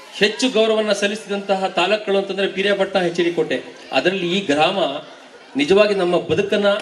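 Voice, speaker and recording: Amid noticeable background noise and audible room echo, a man with a high pitch speaks with fairly even intonation and very even loudness. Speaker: school teacher. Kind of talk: speech at honouring ceremony.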